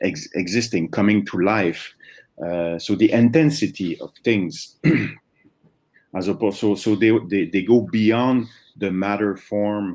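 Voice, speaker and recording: With ordinary pitch variation, the delivery proceeds at a fairly slow pace. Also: man. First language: not English. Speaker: philosophy conference speaker. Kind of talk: academic Q&A answer. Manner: halting, many fillers and restarts.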